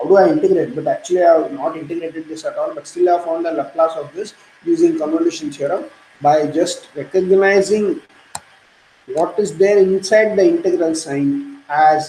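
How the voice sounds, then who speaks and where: Noticeable background noise accompanies talk delivered at a moderate pace. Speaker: university math lecturer. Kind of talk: lecture.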